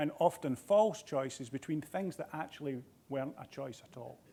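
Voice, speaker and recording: This man has a Scottish accent and a dark, mellow tone. His intonation is lively. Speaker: healthcare executive. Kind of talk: keynote speech. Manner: halting.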